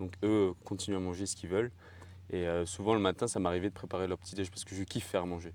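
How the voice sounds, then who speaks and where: Very fast and monotone, a man speaks with a very deep, low pitch and flat intonation. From Tahiti. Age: 20s. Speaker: fitness podcast co-host, bodybuilder. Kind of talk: casual chat. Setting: at home.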